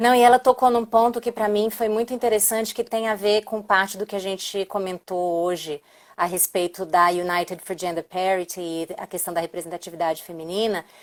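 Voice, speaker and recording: A woman's medium-pitched voice with a Brazilian accent, fairly quick and with hardly any pauses, in a dry, close sound with no echo and a very clean recording with a silent background. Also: ordinary pitch variation. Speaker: diplomat. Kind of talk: live stream interview.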